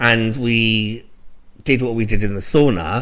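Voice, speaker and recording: With audible room echo, a man in a London accent talks at a medium pitch for a man. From London, England. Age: 40s. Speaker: podcast co-host. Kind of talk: casual chat.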